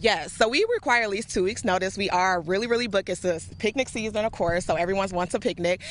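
A woman with a bright, sharp tone talks at a very fast pace. Her pitch varies in an ordinary way, and the sound is dry with no echo. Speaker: guest. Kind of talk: interview answer. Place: open country. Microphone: handheld.

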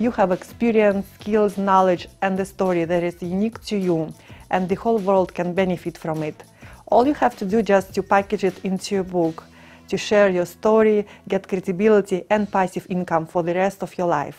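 A woman's voice with fairly even intonation over faint music in the background. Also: moderate pace. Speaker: author. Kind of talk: promotional pitch to camera. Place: studio. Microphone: lapel.

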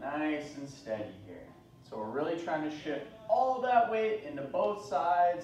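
Amid light background noise and audible room echo, a man speaks at a moderate pace with very wide pitch swings. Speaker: fitness instructor. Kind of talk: exercise class instruction. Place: gym. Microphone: camera far.

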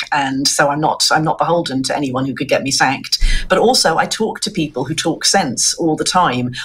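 A woman with a very deep, low pitch, speaking at a fairly quick pace. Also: lively intonation. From Ireland. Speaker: journalist. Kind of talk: interview. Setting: video call. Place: home room.

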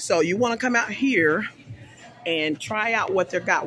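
A man speaks at a moderate pace over faint music in the background. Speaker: food vlogger. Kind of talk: casual vlog chat. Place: street. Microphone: phone near.

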